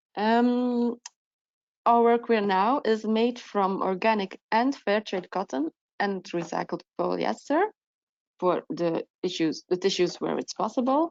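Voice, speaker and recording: A woman speaks at a fairly slow pace in a fairly high pitch, her intonation lively. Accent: non-native. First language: not English. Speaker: procurement officer. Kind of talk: webinar presentation. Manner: halting, many fillers.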